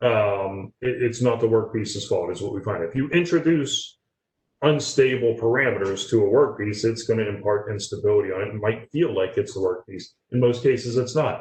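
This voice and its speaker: Somewhat breathy, this man talks at a fairly quick pace. His pitch is medium, with ordinary variation. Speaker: industrial tooling director presenting webinar. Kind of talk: webinar Q&A. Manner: fast.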